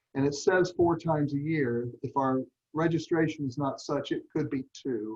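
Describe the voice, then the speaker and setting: With an American accent, this man talks at a fairly high pitch, sounding somewhat breathy, his pitch varying in an ordinary way. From US South. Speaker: nonprofit meeting leader. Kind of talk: online meeting presentation. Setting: video call. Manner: slow.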